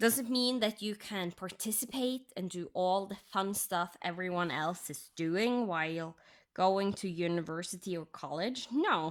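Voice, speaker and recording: A woman with a Norwegian accent talks with hardly any pauses on a very clean recording with a silent background. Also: medium pitch for a woman, ordinary pitch variation, fairly slow pace. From Norway. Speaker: crafting YouTuber. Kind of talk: casual chat.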